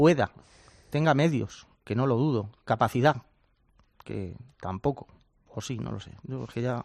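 Speaking fairly slowly at a medium pitch, a man leaves long, frequent pauses, his loudness swinging widely while his pitch varies in an ordinary way. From rural Spain. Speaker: futsal pundit. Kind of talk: panel discussion. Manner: animated.

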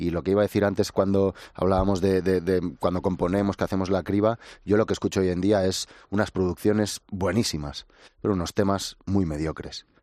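A man with a very deep, low pitch and a dark, mellow tone speaks at a fairly quick pace in monotone, flat intonation. The sound is dry and close with no echo, over a quiet background. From Ibiza, Spain. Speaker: musician in a band. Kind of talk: casual interview.

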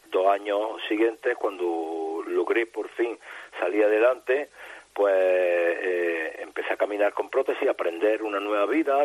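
A man speaks at a fairly slow pace amid noticeable background noise. The sound is dry and close with no echo. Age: 50s. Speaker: traffic accident survivor, double amputee. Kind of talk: testimony.

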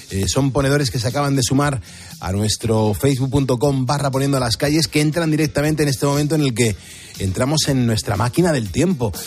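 Over noticeable background noise, a man talks at a fairly quick pace. His pitch is medium with ordinary variation. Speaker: radio host. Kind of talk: casual chat. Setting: studio. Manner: animated.

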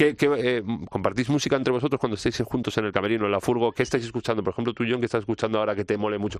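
The pitch varies in an ordinary way against a quiet background. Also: man. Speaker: podcast host. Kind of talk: interview.

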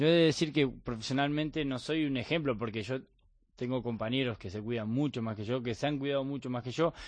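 Against a quiet background, a man speaks at a fairly quick pace and medium pitch, with ordinary pitch variation. He has a plain, everyday voice. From Argentina, Bahía Blanca. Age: 30s. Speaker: professional padel player. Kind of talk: radio interview. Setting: radio studio.

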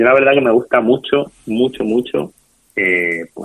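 A man with a plain, everyday voice talks at a fairly slow pace, his pitch varying in an ordinary way. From Spain, Toledo. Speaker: restaurateur and hospitality school director. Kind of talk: interview.

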